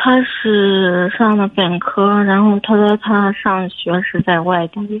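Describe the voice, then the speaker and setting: A woman's voice at a medium pitch. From Henan, China. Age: 20s. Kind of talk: phone call-in. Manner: hesitant. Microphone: echo on the line.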